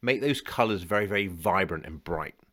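A man's fairly low, bright and sharp voice with a British accent and lively intonation, on a very clean recording with a silent background. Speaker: financial planner and podcast host. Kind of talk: guided visualization exercise, calm coaching instruction.

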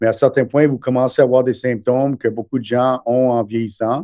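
A man speaks at a medium pitch and a moderate pace. His tone is dark and mellow, his intonation monotone and flat. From Montreal, Quebec. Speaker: gastroenterologist. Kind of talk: interview.

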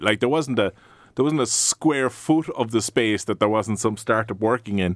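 Fairly quick speech from a man, medium in pitch, with ordinary pitch variation. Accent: Cork. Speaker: podcast host and coworking space founder. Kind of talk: podcast interview. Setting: studio.

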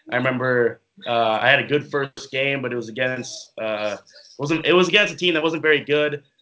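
At a moderate pace, a man speaks in a plain, everyday voice, fairly high in pitch, with ordinary pitch variation. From Minnesota (Minneapolis). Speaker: professional football player. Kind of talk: interview.

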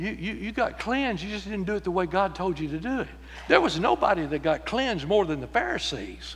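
With a Texan accent, a man speaks at a moderate pace in a high, bright, sharp voice with very wide pitch swings over a quiet background. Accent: Texan Southern US. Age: 70s. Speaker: pastor. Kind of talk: sermon. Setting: church.

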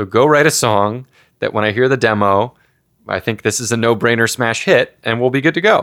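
A man's normal speaking voice at a medium pitch. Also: ordinary pitch variation, fairly quick pace. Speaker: rock band frontman and songwriter. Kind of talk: casual interview. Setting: recorded at a gaming festival.

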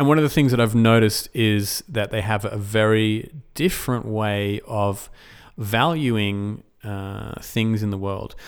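A man at a fairly low pitch with ordinary pitch variation, on a very clean recording with a silent background. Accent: Australian. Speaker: esports podcast host. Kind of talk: solo podcast monologue.

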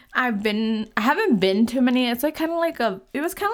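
Lively intonation marks this woman's speech. She has an American accent and keeps a moderate pace. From California. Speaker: podcast host. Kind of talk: casual solo chat. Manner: rambling with many fillers and laughs.

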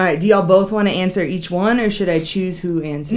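The speech is very fast with fairly even intonation, and background noise is noticeable. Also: woman, medium pitch for a woman. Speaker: podcast co-host.

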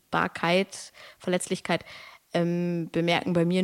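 In a very clean recording with a silent background, a woman with fairly low pitch speaks at a fairly slow pace. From Germany, Lower Saxony (Braunschweig). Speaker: poet and creative artist. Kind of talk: casual interview. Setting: podcast recording. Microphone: good microphone, sounds great.

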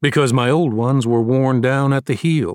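A man speaks at a moderate pace with a plain, everyday voice at medium pitch, on a very clean recording with a silent background. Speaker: audiobook narrator. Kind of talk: audiobook reading, first-person narration with courtroom opening statement. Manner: formal, measured, persuasive courtroom oratory.

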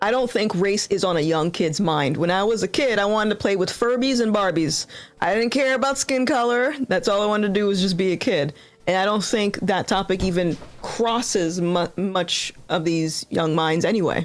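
Speaking in an American accent, a woman has an ordinary speaking voice at medium pitch, with lively intonation. Her pace is moderate and her loudness very even. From US Northeast, Rhode Island. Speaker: YouTuber, political commentator. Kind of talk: casual interview. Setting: live stream video call.

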